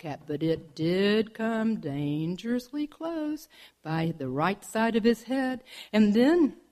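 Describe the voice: Text read plainly aloud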